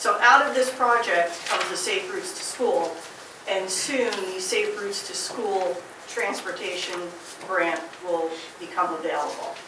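Long, frequent pauses break up speech delivered at a fairly slow pace. Audible room echo and noticeable background noise are present. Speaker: municipal official. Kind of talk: official report. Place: meeting room. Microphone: camera far.

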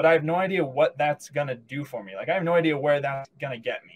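A man speaks at a fairly quick pace with ordinary pitch variation and a somewhat breathy voice. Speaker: podcast guest. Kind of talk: interview answer. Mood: relaxed, smiling. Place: home room. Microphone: video call.

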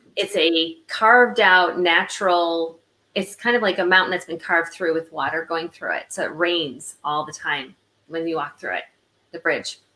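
Delivered at a moderate pace with an American accent, the voice has a bright, sharp tone and ordinary pitch variation. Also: woman, fairly low pitch for a woman. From Illinois, US Midwest. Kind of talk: casual interview chat. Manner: animated.

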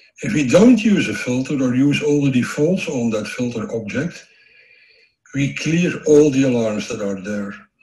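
The voice makes very wide pitch swings. The background is quiet, with audible room echo. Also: man, medium pitch for a man, moderate pace. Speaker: systems engineer. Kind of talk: technical conference presentation. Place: home room.

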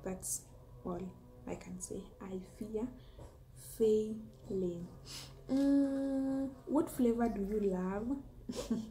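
A woman with a Kenyan accent speaks very slowly at a fairly high pitch, with long, frequent pauses, ordinary pitch variation and big swings in loudness over light background noise. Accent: Kenyan (Luo) English. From Kenya, Homa Bay County. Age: 20s. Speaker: food and lifestyle YouTuber, teacher. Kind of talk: casual vlog Q&A monologue. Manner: hesitant, many fillers. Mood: cheerful, smiling. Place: home room. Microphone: phone near.

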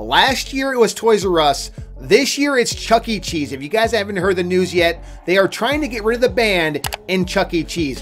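A man is talking while music plays faintly behind him. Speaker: gaming news youtuber. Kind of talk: casual vlog commentary. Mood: mock outrage, upset. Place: home room. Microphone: studio mic.

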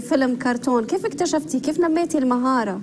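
Clear background noise sits behind a woman speaking with ordinary pitch variation.

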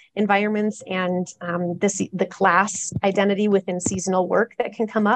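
A woman's flat monotone at a moderate pace with hardly any pauses, over a quiet background. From Alaska. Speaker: diversity consultant and river guide; river guide. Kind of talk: panel discussion. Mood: friendly, smiling. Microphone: earbuds.

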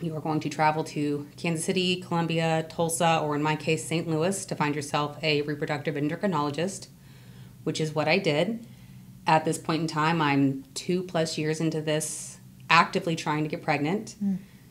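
A woman's very deep, low voice, flat and monotone, over light background noise. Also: fairly quick pace. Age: 30s. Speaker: infertility advocate, financial analyst. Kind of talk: personal testimony interview. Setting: podcast studio. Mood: candid, personal storytelling. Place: studio. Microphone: studio mic.

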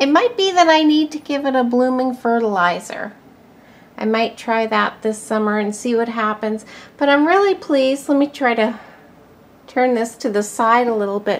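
Lively intonation at a moderate pace. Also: woman, high pitch for a woman. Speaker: plant collector vlogger. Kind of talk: casual vlog chat. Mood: pleased, warm. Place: home room. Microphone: phone near.

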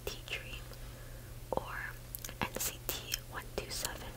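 Delivery is very slow. Background noise is noticeable. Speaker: ASMR creator. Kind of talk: ASMR whispered gum chewing and rambling while playing a game.

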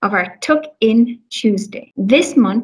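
Over a quiet background comes plain reading aloud with ordinary pitch variation.

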